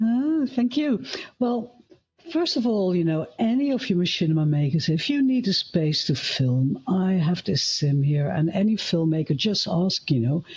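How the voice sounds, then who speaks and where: A woman with a Dutch accent speaks at a moderate pace in a fairly low pitch. Her loudness stays very even while her pitch swings very widely. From Netherlands. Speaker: filmmaker and former TV camera operator. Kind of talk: live panel discussion.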